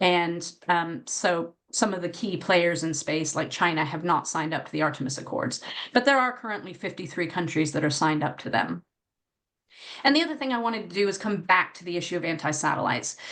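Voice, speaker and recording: A woman with an American accent has a normal speaking voice, a fairly low pitch, and lively intonation. She talks at a fairly quick pace against a quiet background. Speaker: academic space policy researcher. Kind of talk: conference panel talk. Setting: conference panel with audience.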